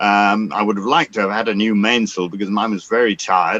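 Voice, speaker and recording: With an English accent, a man speaks at a moderate pace in a fairly low pitch, his bright, sharp tone captured in a dry, close sound with no echo. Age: 70s. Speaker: sailor and former yachting magazine columnist. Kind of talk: interview answer. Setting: video call.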